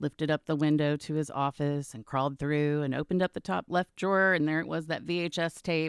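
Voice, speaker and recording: Very deep and low in pitch, a woman speaks with an American accent at a fairly quick pace and fairly even intonation. The sound is dry and close with no echo, in a very clean recording with a silent background. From Texas, Garland (Dallas area). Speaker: voice actress. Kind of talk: casual interview. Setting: in-person at a trade school.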